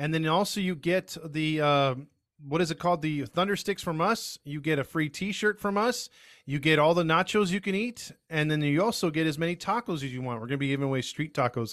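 This is an unremarkable speaking voice. The recording is very clean, with a silent background. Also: man, fairly high pitch for a man, ordinary pitch variation, fairly quick pace. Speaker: baseball podcast co-host. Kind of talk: casual chat.

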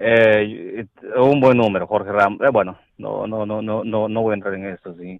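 A man speaks at a fairly low pitch. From El Salvador. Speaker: caller. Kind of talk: phone call opinion. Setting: phone call. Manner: halting, hesitant.

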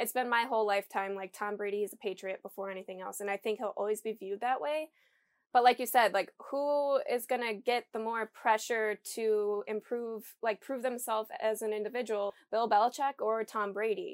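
A woman's normal speaking voice, fairly high-pitched, with fairly even intonation at a moderate pace, in a dry, close sound with no echo. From Michigan. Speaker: podcast host, student. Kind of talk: casual chat. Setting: video call.

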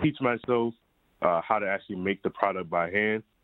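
With an American accent, a man has an ordinary speaking voice, talking at a moderate pace with fairly even intonation. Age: 30s. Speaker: entrepreneur. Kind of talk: radio interview.

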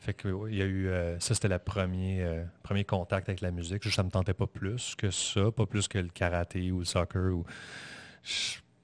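At a moderate pace, a man speaks with a very deep, low pitch and monotone, flat intonation, the sound dry and close with no echo against a quiet background. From Montreal, Quebec. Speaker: musician and podcaster. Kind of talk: casual interview chat. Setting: studio. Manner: calm.

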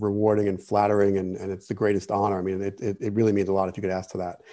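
With a New Jersey accent, a man speaks in a fairly low, dark, mellow voice. His intonation is fairly even. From New Jersey (Jersey City). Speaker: wine writer and expert. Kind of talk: interview. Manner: halting, many fillers.

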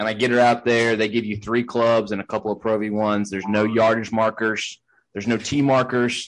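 Over a quiet background, a man talks at a medium pitch and a fairly quick pace. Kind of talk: golf play-by-play commentary, announcer-style interjection. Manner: animated, quick, hyped-up broadcaster cadence.

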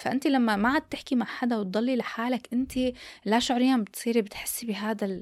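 A woman speaks in a high pitch at a moderate pace. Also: fairly even intonation. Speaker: podcast host. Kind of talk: casual chat.

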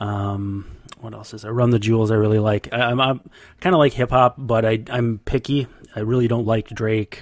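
On a very clean recording with a silent background, a man with a plain, everyday voice speaks at a medium pitch and moderate pace, his intonation fairly even and his loudness swinging widely. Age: 30s. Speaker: baseball beat writer. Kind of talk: casual interview.

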